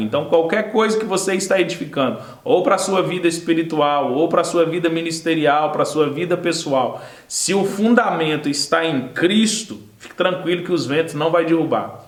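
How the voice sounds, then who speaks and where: Noticeable background noise and audible room echo surround a man's high voice. He keeps a moderate pace with ordinary pitch variation. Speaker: Sunday school Bible teacher. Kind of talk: Bible lesson. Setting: recorded video lesson.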